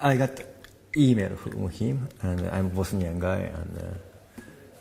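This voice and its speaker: Speech comes at a very slow pace. It carries a Japanese accent. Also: man. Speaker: documentary filmmaker. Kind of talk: interview. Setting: film festival. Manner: halting.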